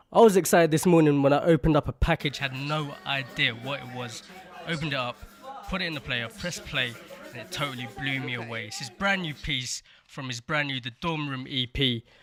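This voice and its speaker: A man's fairly high-pitched voice at a fairly quick pace, with ordinary pitch variation, big swings in loudness and music in the background. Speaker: radio presenter. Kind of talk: radio DJ intro.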